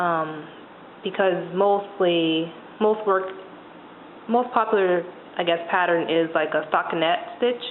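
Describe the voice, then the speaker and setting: A woman with a fairly low pitch speaks at a fairly slow pace with long, frequent pauses, ordinary pitch variation and very even loudness, over noticeable background noise. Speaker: knitting instructor. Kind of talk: tutorial. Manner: hesitant.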